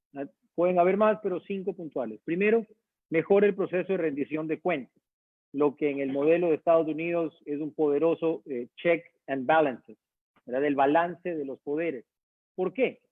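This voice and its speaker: A man with a fairly high voice talks at a moderate pace with ordinary pitch variation. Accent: slight Guayaquil. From Ecuador, Guayaquil. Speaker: university dean. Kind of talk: online talk / lecture with Q&A.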